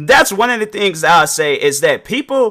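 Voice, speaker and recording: Loud and bright, a man's voice has a sharp tone. His pitch swings very widely. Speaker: podcast host and reaction video creator. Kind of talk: casual, slangy. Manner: naturally loud.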